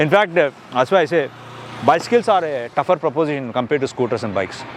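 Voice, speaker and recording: Over noticeable background noise, a man talks at a very fast pace. His voice is fairly high-pitched, with lively intonation. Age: 50s. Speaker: customer reviewer. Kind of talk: interview. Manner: halting.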